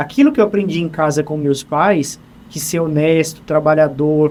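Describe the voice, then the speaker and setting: This man talks at a moderate pace in a plain, everyday voice, fairly high-pitched, with ordinary pitch variation. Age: 30s. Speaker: HR supervisor. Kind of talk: interview conversation.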